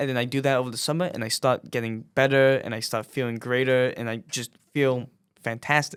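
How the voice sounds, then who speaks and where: Speaking fairly quickly, a man with an unremarkable speaking voice keeps a medium pitch and fairly even intonation. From New York City. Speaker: podcast host. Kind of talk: casual chat.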